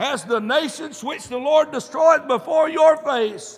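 A man speaks with a Southern US accent at a fairly slow pace. His tone is animated and his pitch varies in an ordinary way. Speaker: preacher. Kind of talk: sermon. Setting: church. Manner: animated, punctuating nearly every sentence with a fervent 'amen'; emphatic, pulpit-style exhortation with direct address to the congregation.

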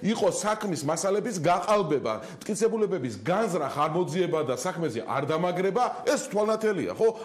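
A man speaks very fast in a high voice. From Georgia. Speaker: opposition party representative; TV talk show guest. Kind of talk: TV news interview. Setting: TV news program. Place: studio. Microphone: lapel.

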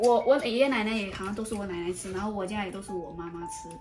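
Faint music in the background accompanies a woman speaking at a very fast pace with very wide pitch swings. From Anhui, China. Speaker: family vlogger. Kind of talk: casual family conversation. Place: kitchen. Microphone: camera far.

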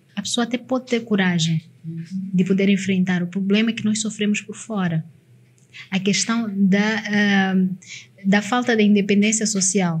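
At medium pitch and a moderate pace, a woman speaks with fairly even intonation. She leaves long, frequent pauses. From Mozambique, Nampula; Mozambique. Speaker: motivational consultant and speaker; speaker. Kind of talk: casual interview chat. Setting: studio. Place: studio. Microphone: studio mic.

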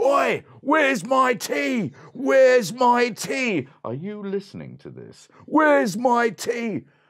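Cartoonish character voice from a man, extremely high in pitch, fairly slow in pace, with hardly any pauses. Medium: puppet show. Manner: rude, demanding, impatient.

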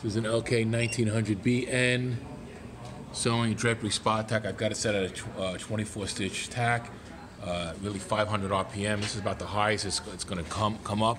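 Monotone, flat delivery from a man with a fairly low voice at a moderate pace, over noticeable background noise. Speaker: sewing machine demonstrator. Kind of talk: tutorial. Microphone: phone near.

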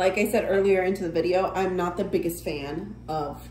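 A woman at a fairly slow pace, with light background noise and audible room echo. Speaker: vlogger. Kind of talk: casual vlog chat. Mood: relaxed, mildly critical. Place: home room. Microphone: phone near.

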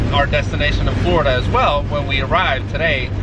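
Very fast male speech over loud background noise, dry with no echo. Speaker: car vlogger driving. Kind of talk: casual vlog chat. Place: car. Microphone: phone near.

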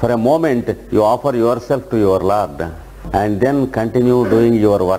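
A man speaks in a calm tone with music in the background. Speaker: yoga teacher. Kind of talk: guided meditation and lecture. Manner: slow, calm, instructive.

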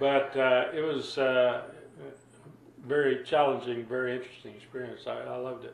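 Moderate pacing from a man, plus audible room echo. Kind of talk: interview answer. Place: home room.

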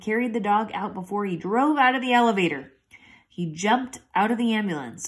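Ordinary pitch variation marks this unforced reading voice. Behind it, the background stays quiet.

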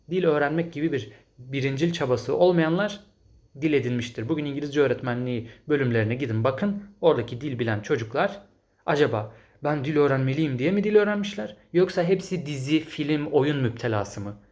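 A man with a fairly high pitch speaks at a moderate pace in a somewhat breathy, animated tone with lively intonation. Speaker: English teacher and language-learning youtuber. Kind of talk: solo video commentary reading viewer comments.

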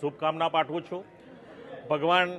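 Pitched high, a man speaks with fairly even intonation. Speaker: member of parliament. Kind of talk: media statement. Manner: formal.

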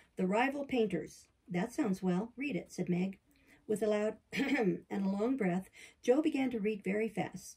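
Reading in a natural voice.

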